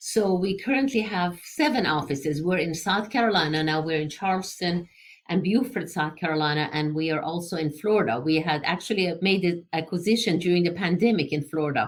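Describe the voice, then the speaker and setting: Speaking fairly quickly with lively intonation, a woman with an Iranian accent uses a fairly low pitch. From Iran, Tehran. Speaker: engineering entrepreneur. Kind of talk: interview.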